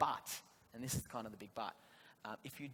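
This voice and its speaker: A man at medium pitch speaks very fast in an Australian accent. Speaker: government policy panelist. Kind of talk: panel discussion.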